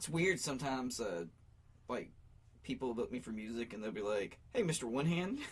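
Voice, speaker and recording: The speaker, with an American accent, moves at a fairly quick pace with lively intonation and long, frequent pauses. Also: man, medium pitch for a man. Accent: Appalachian, noticeable to others. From US South, Appalachia. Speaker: musician and pro wrestler. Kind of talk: casual chat. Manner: talkative.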